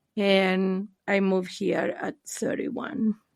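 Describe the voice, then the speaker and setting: A woman speaks at a fairly slow pace in a Spanish accent. The recording is very clean, with a silent background. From Argentina. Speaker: therapist. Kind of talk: interview. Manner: hesitant, many fillers.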